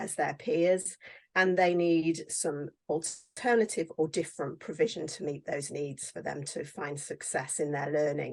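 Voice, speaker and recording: With a British accent and a very deep, low pitch, a woman speaks at a fairly slow pace with fairly even intonation. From England. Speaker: teacher and author. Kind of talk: interview.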